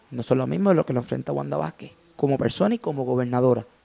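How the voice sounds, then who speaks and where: A man with a Puerto Rican accent talks at a fairly quick pace in a dry, close sound with no echo. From Puerto Rico, Gurabo. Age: young. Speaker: journalism student. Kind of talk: political discussion.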